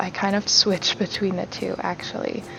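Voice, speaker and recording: A soft-spoken woman at a fairly slow pace amid noticeable background noise. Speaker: home vlogger. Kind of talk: voiceover narration. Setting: recorded at home in dining room.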